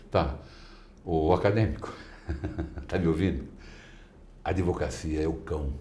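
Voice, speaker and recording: A man's very deep, low voice at a fairly slow pace, with ordinary pitch variation, long, frequent pauses and audible room echo. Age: 60s. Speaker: lawyer. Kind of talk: interview. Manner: animated.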